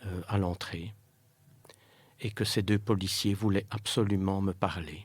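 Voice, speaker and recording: Very slow and broken by long, frequent pauses, a man's fairly low, somewhat breathy voice stays monotone and flat. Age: 60s. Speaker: bereaved father. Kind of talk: testimony. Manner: halting.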